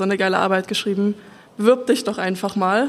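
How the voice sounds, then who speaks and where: Here a woman talks. She moves along at a fairly quick pace. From Saxony, village near Dresden. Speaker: wood technology engineer. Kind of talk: panel talk at live event.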